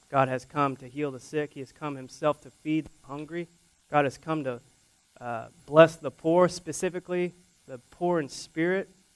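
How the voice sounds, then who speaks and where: A man with a plain, everyday voice, fairly high in pitch, in an American accent, at a moderate pace with ordinary pitch variation and a dry, close sound with no echo. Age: 30s. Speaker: pastor. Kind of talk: sermon.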